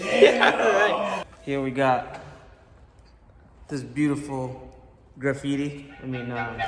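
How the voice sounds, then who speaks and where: With music in the background and audible room echo, a man speaks at a very slow pace with long, frequent pauses, fairly high pitch, fairly even intonation and big swings in loudness. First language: not English. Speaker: car vlogger, auto shop worker. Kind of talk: casual vlog. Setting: auto shop. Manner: occasionally slurred words.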